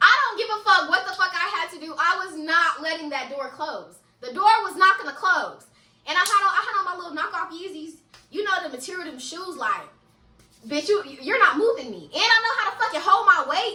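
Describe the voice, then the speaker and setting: Raised and projected, a woman's extremely high-pitched voice moves at a fairly quick pace with a bright, sharp, animated tone, lively intonation and big swings in loudness. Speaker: storytime vlogger. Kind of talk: storytime.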